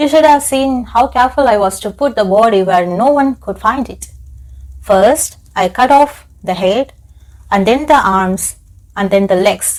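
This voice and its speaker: Lively intonation and a fairly slow pace in a normal speaking voice. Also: woman, fairly high pitch for a woman. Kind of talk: audiobook-style horror story narration, ASMR. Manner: soft, intimate, slow.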